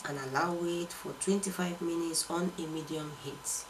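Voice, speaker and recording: Noticeable background noise is heard as a woman talks at a fairly slow pace. Her pitch is fairly low, with ordinary pitch variation. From Nigeria. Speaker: cooking channel host. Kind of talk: cooking tutorial. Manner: animated.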